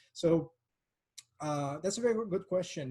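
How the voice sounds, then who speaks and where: Here a man speaks with a Quebec accent. His tone is dark and mellow. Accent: French-Canadian accent in English. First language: French. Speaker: political science researcher. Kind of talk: academic Q&A. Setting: online seminar. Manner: halting, many fillers.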